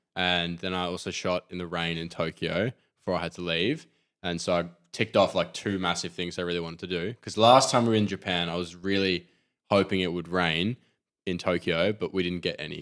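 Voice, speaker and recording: A man's very deep, low voice with an Australian accent, at a fairly quick pace and fairly even intonation, on a very clean recording with a silent background. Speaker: podcast co-host, street photographer. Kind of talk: casual chat.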